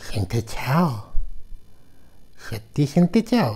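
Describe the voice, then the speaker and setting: This is a put-on character voice pitched low to middle. Its pitch swings very widely. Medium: audio drama.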